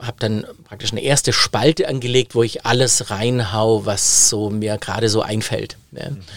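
A normal speaking voice from a man, at moderate pace and medium pitch, its pitch variation ordinary. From Baden-Württemberg, Germany (Biberach an der Riß). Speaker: digitalization consultant and keynote speaker. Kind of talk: interview conversation.

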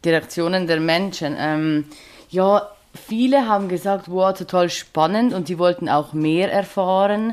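The speaker has a Swiss German accent. The pace is fairly slow. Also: woman, medium pitch for a woman, ordinary pitch variation. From Switzerland. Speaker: social care worker and podcast guest. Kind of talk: casual interview chat. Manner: hesitant, many filler sounds.

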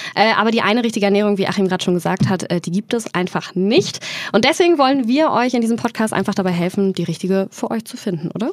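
A woman speaks at a very fast pace. Her medium pitch shows ordinary pitch variation. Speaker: podcast co-host. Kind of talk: casual chat.

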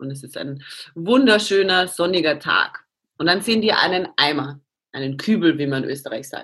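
In an Austrian accent, a woman talks at a moderate pace with a fairly low pitch. Her intonation is lively, and her loudness swings widely. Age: 30s. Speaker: CrossFit athlete. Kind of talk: interview.

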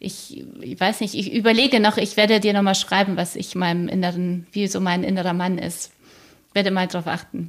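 In a normal speaking voice, a woman speaks at a medium pitch and a moderate pace with ordinary pitch variation. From Poland, then Germany from age seven. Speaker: publisher and podcaster. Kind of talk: interview.

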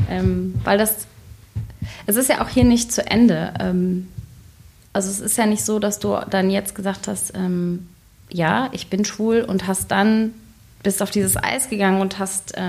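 Somewhat breathy, the voice moves at a fairly slow pace with fairly even intonation and long, frequent pauses. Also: woman, medium pitch for a woman. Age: 30s. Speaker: podcast co-presenter interviewing the host. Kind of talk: casual interview.

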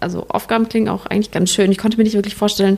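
A woman's medium-pitched voice with vocal fry and a slightly mellow tone.

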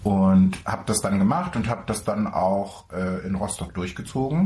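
This man's somewhat breathy voice sits at a fairly low pitch, moving at a moderate pace with ordinary pitch variation. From Mecklenburg-Vorpommern, Germany. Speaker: podcast co-host. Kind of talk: casual chat. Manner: animated, laughing.

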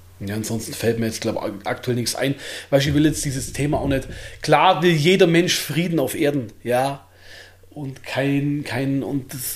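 There is audible room echo around the speaker. He is a man with a fairly high pitch. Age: 30s. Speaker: bodybuilder and shop owner. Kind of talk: casual interview.

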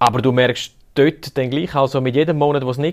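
A man with a Graubünden accent talks at a moderate pace. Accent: Bündner Swiss German. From Graubünden, Switzerland. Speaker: podcast host. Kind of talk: casual chat.

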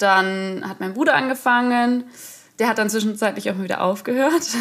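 A woman talks in a fairly high pitch at a moderate pace. Her intonation stays fairly even. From Munich, Bavaria. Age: 20s. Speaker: field hockey player and student teacher. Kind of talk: casual interview chat. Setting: video call.

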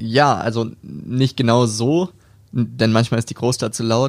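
This man has an unremarkable speaking voice, medium in pitch with ordinary pitch variation. He talks at a fairly slow pace on a very clean recording with a silent background. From Hamburg, northern Germany. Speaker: rapper. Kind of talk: casual interview.

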